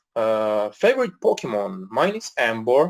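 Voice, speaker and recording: A man with an Italian accent at a fairly slow pace. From Italy. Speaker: podcast host. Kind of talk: casual live podcast Q&A. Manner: halting, many fillers.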